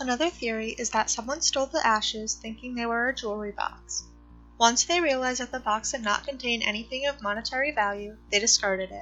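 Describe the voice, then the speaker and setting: Over music in the background, a woman talks at a very fast pace and a fairly high pitch, with ordinary pitch variation. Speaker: mystery channel narrator. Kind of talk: mystery story narration.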